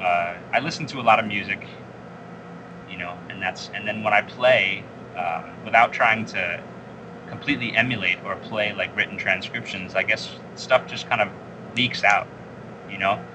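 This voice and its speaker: A man speaks at a moderate pace in a fairly low voice with ordinary pitch variation. His loudness swings widely, long pauses come often, and background noise is noticeable. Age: 30s. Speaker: jazz saxophonist. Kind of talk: interview.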